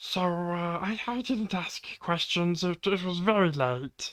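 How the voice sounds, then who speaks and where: Someone in a put-on character voice speaks at a fairly slow pace with a middle pitch. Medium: actual play. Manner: hesitant, stammering.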